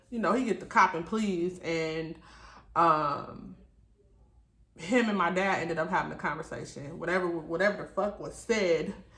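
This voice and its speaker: Audible room echo surrounds a woman whose pitch sits fairly low. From Detroit, US. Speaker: YouTuber, single mother. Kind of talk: story time vlog with mukbang. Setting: at home at night. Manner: loud.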